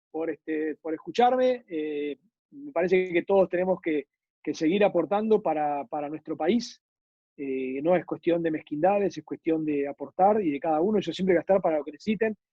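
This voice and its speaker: Ordinary pitch variation in a high male voice, at a medium speed. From Argentina. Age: 60s. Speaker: former state railway executive. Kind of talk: interview conversation.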